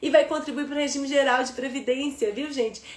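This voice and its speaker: High-pitched, a woman speaks with audible room echo around her. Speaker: law teacher for civil service exams. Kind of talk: live online lecture. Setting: livestream. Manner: fast; animated.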